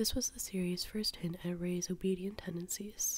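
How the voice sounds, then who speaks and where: A woman with a somewhat breathy, relaxed tone speaks at medium pitch and a moderate pace in a monotone, flat intonation. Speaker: ASMR artist. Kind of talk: ASMR drawing commentary. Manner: soft-spoken, relaxed.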